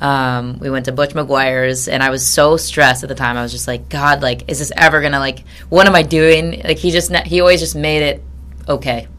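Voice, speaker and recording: With a Midwestern American accent, a woman talks at a fairly quick pace. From Michigan, Grand Rapids. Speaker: sports broadcaster. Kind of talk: interview. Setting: studio.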